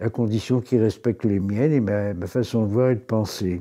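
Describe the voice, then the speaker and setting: Against a quiet background, the voice has a dark, mellow tone and ordinary pitch variation. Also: man. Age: 80s+. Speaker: retiree. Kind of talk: interview. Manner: halting.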